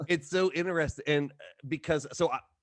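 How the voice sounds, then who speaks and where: A man with a Southern US accent at a fairly quick pace, dry and close with no echo, against a quiet background. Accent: Southern-sounding. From Ohio, Kentucky-migrant area. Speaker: podcast host. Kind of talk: casual chat. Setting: studio. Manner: halting.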